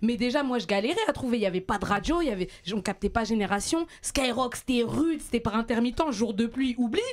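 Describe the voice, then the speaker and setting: Against noticeable background noise, a woman with a fairly high pitch speaks in an animated tone with ordinary pitch variation. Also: fairly quick pace, very even loudness. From France, Île-de-France (Paris area). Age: 30s. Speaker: panelist on a rap debate show. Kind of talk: heated debate. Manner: fast, animated.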